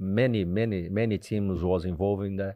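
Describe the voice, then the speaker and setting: A man talks at a fairly slow pace in a Portuguese accent. His pitch is fairly low and his intonation fairly even. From Brazil. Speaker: retired footballer. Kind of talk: casual interview. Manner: halting.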